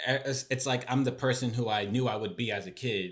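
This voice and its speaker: A man's unremarkable speaking voice, fairly quick, with fairly even intonation on a very clean recording with a silent background. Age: 20s. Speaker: podcast co-host. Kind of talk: casual chat. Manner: rambling with many fillers.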